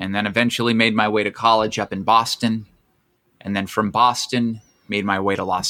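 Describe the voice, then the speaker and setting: A man's fairly low, bright and sharp voice with an American accent, monotone and flat, at a moderate pace. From Pennsylvania (Camp Hill, near Harrisburg). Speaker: stand-up comedian. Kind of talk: casual chat.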